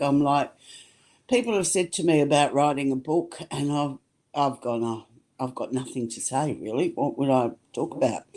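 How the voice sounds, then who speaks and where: A woman with an Australian accent talks at a moderate pace, her pitch very deep and low with ordinary variation, her tone dark and mellow, in a very clean recording with a silent background. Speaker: sound healer. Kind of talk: interview answer.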